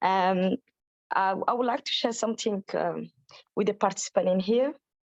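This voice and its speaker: In a French accent, a woman talks at medium pitch and a moderate pace with ordinary pitch variation. Her loudness stays very even, and the sound is dry and close with no echo. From Djibouti. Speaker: menstrual health advocate. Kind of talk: webinar participant sharing experience. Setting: video call webinar. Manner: halting, many fillers and repetitions.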